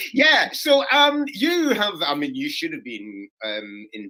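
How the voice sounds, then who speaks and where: The voice belongs to a man. He speaks with a Scottish accent. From Scotland. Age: 60s. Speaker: comedian. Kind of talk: casual chat.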